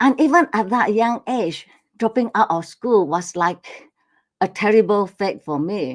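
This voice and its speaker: A woman with lively intonation at a fairly slow pace, on a very clean recording with a silent background. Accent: Malaysian. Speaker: speaker telling life story.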